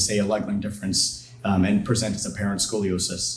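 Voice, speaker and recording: A somewhat breathy male voice at a very fast pace, with fairly even intonation and audible room echo. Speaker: orthopedic surgeon. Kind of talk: lecture.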